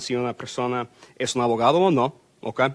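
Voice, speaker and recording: The speaker is a man. His pitch is medium. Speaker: immigration lawyer. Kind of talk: public info workshop talk. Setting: consulate workshop with audience and microphone. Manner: fast; hesitant with fillers. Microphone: microphone repositioned, sound better.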